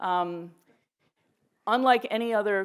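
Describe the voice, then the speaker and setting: A very clean, silent-background recording of a woman at a fairly slow pace with ordinary pitch variation. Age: 60s. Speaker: lawyer. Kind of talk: panel talk. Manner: animated.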